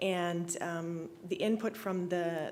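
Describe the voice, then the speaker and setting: A woman with an Albertan accent speaks at a medium pitch with fairly even intonation, sounding nervous and shaky, amid audible room echo. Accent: Canadian (Alberta). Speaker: real estate agent speaking at public hearing. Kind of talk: public hearing statement. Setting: council chamber, public hearing. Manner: shaky, nervous.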